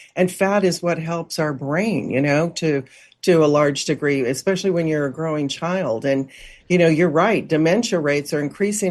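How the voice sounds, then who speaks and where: A woman with a very deep, low pitch at a moderate pace. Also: quiet background. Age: 70s. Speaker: nutrition expert. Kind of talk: interview.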